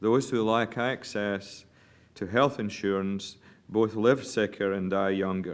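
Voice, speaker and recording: The speaking is at a fairly slow pace on a very clean recording with a silent background. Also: man. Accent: Scottish. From Scotland. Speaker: physician, medical association chair. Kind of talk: press statement. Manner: formal.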